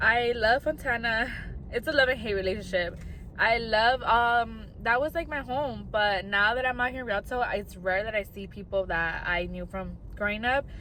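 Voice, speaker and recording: A woman with an American accent and a bright, sharp tone speaks at a moderate pace, her fairly high pitch showing ordinary variation. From US West, Inland Empire, California. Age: 20s. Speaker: content creator. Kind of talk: casual vlog talk.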